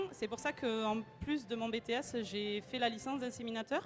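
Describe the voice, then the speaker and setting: A woman with a southwestern French accent at a fairly slow pace, fairly high pitch and ordinary pitch variation, music in the background. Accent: southwest French. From southwest France. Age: 20s. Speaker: student and equine inseminator. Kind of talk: interview. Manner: hesitant, many fillers.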